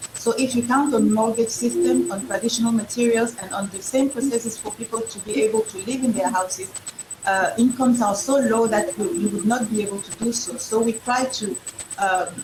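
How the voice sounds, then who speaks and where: Amid noticeable background noise, a woman with a French accent speaks at a fairly quick pace in a fairly high pitch, with ordinary pitch variation. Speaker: entrepreneur. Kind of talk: panel discussion. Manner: halting.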